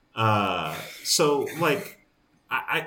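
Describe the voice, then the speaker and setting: There's audible room echo as a man speaks with an American accent. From New York. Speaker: baseball radio play-by-play announcer. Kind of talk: casual interview.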